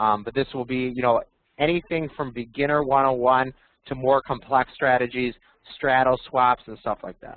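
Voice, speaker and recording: At a fairly quick pace, a man delivers his lines in a medium pitch with monotone, flat intonation. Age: 30s. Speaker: options trader. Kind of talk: webinar presentation. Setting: webinar. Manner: fast.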